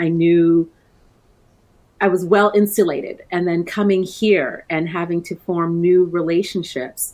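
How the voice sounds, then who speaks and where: With a Canadian accent, a woman speaks in an unremarkable speaking voice at a fairly low pitch, a fairly slow pace and with fairly even intonation, on a very clean recording with a silent background. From Canada, born in Trinidad. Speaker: coaching business owner. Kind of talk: interview.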